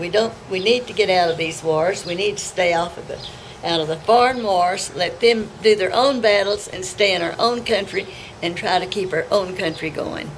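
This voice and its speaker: A woman's speech moves at a moderate pace. Behind her, background noise is noticeable. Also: medium pitch for a woman, ordinary pitch variation. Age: 80s+. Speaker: farmer. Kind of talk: interview answer.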